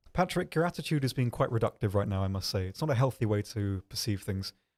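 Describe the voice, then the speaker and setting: A man with a British accent talks at a fairly quick pace, his voice dry and close with no echo, on a very clean recording against a silent background. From UK. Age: 20s. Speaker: game community manager and streamer. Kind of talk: casual livestream chat answering viewers. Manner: fast, stumbling over words; hesitant, many ums.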